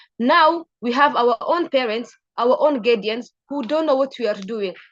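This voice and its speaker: A woman's high voice with ordinary pitch variation, in a dry, close sound with no echo. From Kenya, refugee camps, Somali community. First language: not English (third language). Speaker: refugee youth advocate, panelist. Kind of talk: panel discussion talk. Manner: halting, some repetitions.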